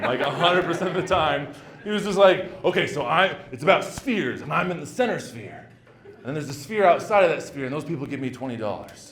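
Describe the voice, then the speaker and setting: A man with a high pitch and lively intonation, talking at a very fast pace with big swings in loudness over noticeable background noise. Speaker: stand-up comedian. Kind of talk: live stand-up comedy set. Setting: comedy club, live audience.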